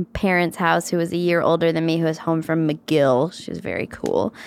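A woman with a fairly low pitch. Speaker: comedy writer. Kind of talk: casual interview chat.

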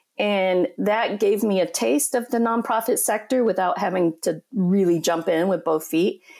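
A woman's ordinary speaking voice at medium pitch, moderate pace and ordinary pitch variation, with very even loudness, hardly any pauses, and a very clean recording over a silent background. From Colorado, Four Corners area. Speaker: nonprofit executive. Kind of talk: interview.

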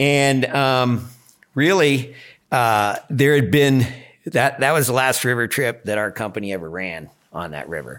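A man with a plain, everyday voice speaks at a fairly slow pace in a medium pitch, his intonation lively. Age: 60s. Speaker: river guide and boat outfitter. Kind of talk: casual interview.

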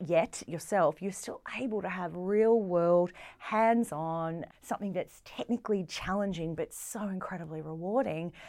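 A woman with an Australian accent speaks at a moderate pace in a fairly low pitch with ordinary pitch variation. The recording is very clean, with a silent background. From Australia, Melbourne. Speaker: space science centre deputy director. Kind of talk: casual interview.

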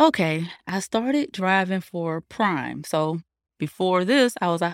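An American accent with lively intonation at a fairly slow pace, in a very clean recording with a silent background. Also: woman. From North Carolina. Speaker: truck driver, owner-operator. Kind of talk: casual interview.

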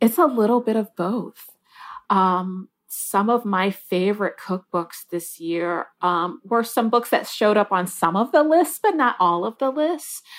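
A plain, everyday voice with an American accent, lively intonation and a fairly slow pace, in a very clean recording with a silent background. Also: woman, medium pitch for a woman. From US Midwest, Detroit, Michigan. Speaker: newspaper food editor. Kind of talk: interview.

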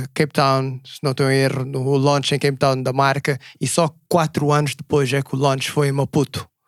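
In a Portuguese accent, a man speaks at a fairly quick pace with monotone, flat intonation, the sound dry and close with no echo. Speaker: podcast co-host. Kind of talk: casual interview chat. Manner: code-switching Portuguese and English.

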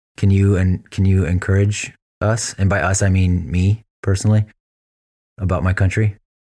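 A man with an American accent speaks at a moderate pace in a fairly low voice, his dark, mellow tone held in a flat monotone on a very clean recording with a silent background. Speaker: podcast co-host. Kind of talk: casual interview.

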